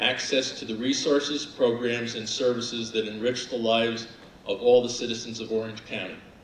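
With audible room echo and light background noise, the speaker talks fairly quickly in a flat monotone. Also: man. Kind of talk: formal resolution reading. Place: hall. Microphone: podium.

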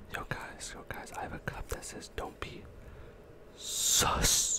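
A man whispers, his words coming at a very slow pace. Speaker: ASMR content creator. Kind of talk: casual talk to camera, ASMR. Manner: casual, upbeat, energetic. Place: home room. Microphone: studio mic.

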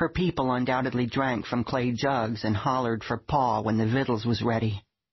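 Speaking at a moderate pace, a man has a medium pitch and a somewhat breathy sound. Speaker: audiobook narrator reading a memoir. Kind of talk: audiobook narration, comic memoir read.

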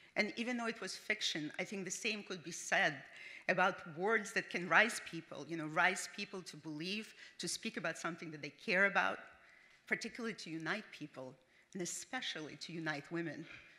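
At a fairly quick pace, a woman with a non-native accent speaks at medium pitch with ordinary pitch variation, a bright, sharp tone, and big swings in loudness. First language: not English. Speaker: business founder. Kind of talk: award acceptance speech. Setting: stage with audience. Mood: earnest, heartfelt. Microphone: podium.

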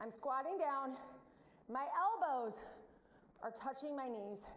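A woman speaks with a high pitch at a very slow pace. Audible room echo surrounds her voice. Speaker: fitness instructor. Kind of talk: workout instruction. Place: gym.

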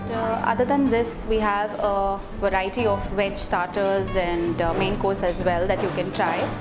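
There is clear music in the background. Over it, a woman's voice is heard. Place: cafe. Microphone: lapel.

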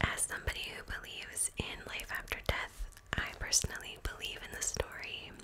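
Someone whispers at a moderate pace, soft-spoken. Noticeable background noise runs underneath. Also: woman. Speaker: storyteller. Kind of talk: soft-spoken story narration. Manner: soft close-mic whisper. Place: home room. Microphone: studio mic.

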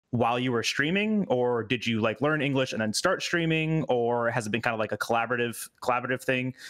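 In front of a quiet background, a man speaks at a medium pitch with ordinary pitch variation. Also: very even loudness. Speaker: podcast host and game streamer; podcast host, game streamer. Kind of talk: casual chat. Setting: video call. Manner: animated. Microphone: headset.

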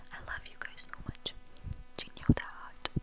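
A soft-spoken woman whispering at a moderate pace. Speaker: content creator. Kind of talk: soft close-mic ASMR chat. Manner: tender soft whisper. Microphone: lapel.

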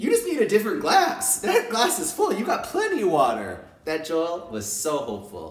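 Speaking at a moderate pace with hardly any pauses, a man is heard against audible room echo. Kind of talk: casual talk to camera. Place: home room. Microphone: phone near.

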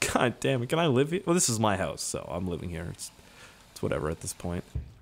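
The voice has a Maritime Canadian accent. Its pitch swings very widely. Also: man. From Canada, Nova Scotia. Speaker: gaming YouTuber. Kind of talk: let's play commentary. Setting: home recording. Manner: casual, joking.

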